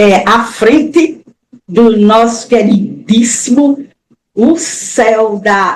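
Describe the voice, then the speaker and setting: In a northeastern Brazilian accent, the voice sounds somewhat breathy and shows ordinary pitch variation. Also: woman. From Brazil, Alagoas (Maceió). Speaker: author, retired teacher. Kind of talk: interview.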